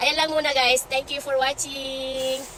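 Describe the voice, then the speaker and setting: Over noticeable background noise, a woman with a high pitch speaks in a raised, projected voice. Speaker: store worker and vlogger. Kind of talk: casual vlog while working. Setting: grocery store.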